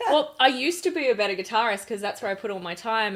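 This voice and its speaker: Speaking in an Australian accent, a woman uses lively intonation at a medium pitch. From Australia, Gold Coast. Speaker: rock singer-songwriter. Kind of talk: interview conversation.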